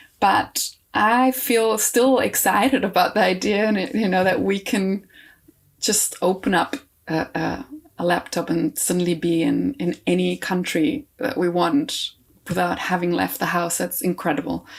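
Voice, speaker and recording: A woman's lively intonation comes through with vocal fry. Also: medium pitch for a woman, fairly slow pace. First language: not English. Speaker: composer and choir director. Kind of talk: interview conversation. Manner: halting, many fillers and restarts.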